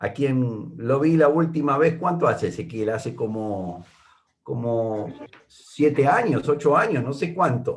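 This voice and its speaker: Speaking fairly slowly with a porteño accent, a man uses lively intonation. His pitch is fairly high and his voice is somewhat breathy. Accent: porteño (Buenos Aires). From Argentina, Buenos Aires. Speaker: Bible teacher. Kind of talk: Bible study. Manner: hesitant, many fillers.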